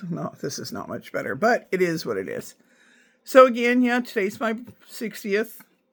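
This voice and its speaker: A woman's fairly high voice with vocal fry and big swings in loudness. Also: ordinary pitch variation, moderate pace. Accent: American. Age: 60s. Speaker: video blogger. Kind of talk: casual vlog monologue. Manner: hesitant, many fillers.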